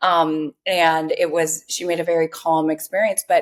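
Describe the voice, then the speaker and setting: A woman with an American accent, an ordinary speaking voice, fairly low pitch, and a moderate pace on a very clean recording with a silent background. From US Midwest. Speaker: health company co-founder. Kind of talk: podcast interview.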